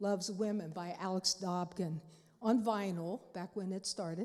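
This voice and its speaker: This woman's tone is dark and mellow, and she moves at a moderate pace with ordinary pitch variation. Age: 70s. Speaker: panelist. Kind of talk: panel talk. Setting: church. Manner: halting.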